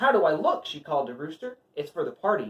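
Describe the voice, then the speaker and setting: Rattling along at a very fast pace, a put-on character voice sits at a fairly high pitch. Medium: read story.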